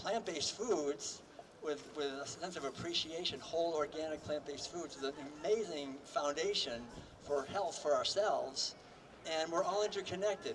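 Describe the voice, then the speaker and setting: A man with a high pitch talks at a moderate pace. His pitch varies in an ordinary way, with noticeable background noise. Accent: American. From Massachusetts, US. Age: 70s. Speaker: vegan author and speaker. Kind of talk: rally keynote speech. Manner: casual, with fillers.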